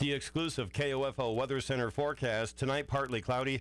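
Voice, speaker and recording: A man speaks at a moderate pace with fairly even intonation. The sound is dry, with no echo. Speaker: radio news reader. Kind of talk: radio news and weather reading. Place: studio.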